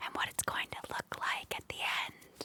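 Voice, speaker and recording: A woman's whisper, calm in tone, at a fairly slow pace. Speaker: ASMR content creator. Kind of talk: ASMR LEGO building narration. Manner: soft-spoken, whispered, calm.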